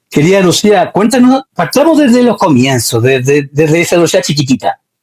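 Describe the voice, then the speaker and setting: With a Chilean accent, a man speaks at a moderate pace in a high voice with very wide pitch swings and very even loudness, the sound dry and close with no echo. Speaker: interview show host. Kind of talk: interview.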